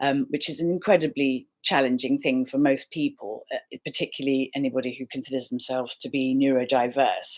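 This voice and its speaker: Speaking with an English accent, a woman moves at a fairly quick pace with hardly any pauses. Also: very clean recording, silent background. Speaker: life coach and healer. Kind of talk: casual talk to camera. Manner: warm, friendly.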